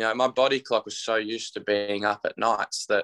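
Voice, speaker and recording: A man talks at a fairly quick pace. The recording is very clean, dry and close, with no echo and a silent background. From Tasmania, Australia. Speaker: musician and runner. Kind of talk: casual chat.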